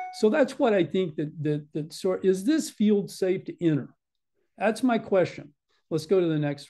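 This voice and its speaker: A man talks at a moderate pace with lively intonation and a high pitch. Faint music plays in the background. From Texas. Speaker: orthopedic surgeon. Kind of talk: lecture. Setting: video call. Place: home room. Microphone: webcam.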